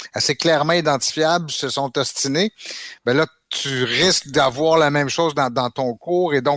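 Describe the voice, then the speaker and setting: This is an ordinary speaking voice, a man's, fairly high in pitch with ordinary pitch variation and a moderate pace. The sound is dry and close with no echo, on a very clean recording with a silent background. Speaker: history teacher. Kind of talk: casual chat.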